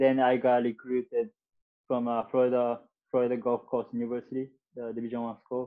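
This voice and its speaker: At a moderate pace, a man talks with a medium-pitched voice. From Japan. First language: Japanese. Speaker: soccer player. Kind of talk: interview. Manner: halting.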